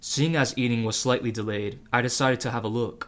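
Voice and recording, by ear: A natural voice reading aloud, intonation fairly even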